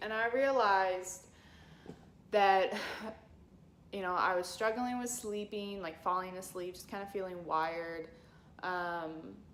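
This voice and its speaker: In a room with audible echo, a woman at medium pitch speaks at a fairly slow pace with ordinary pitch variation and long, frequent pauses. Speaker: chronic illness vlogger. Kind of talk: personal vlog. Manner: halting, many fillers.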